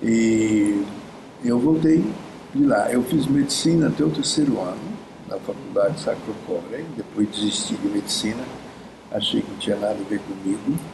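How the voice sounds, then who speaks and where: Through noticeable background noise, a man speaks at a moderate pace in a medium pitch with lively intonation and long, frequent pauses. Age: 80s+. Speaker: gestalt therapist and professor. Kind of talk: conversational interview. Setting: at a conference venue. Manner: halting.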